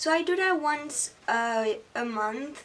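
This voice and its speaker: A woman talks over noticeable background noise. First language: French. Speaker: beauty YouTuber. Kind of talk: tutorial. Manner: halting.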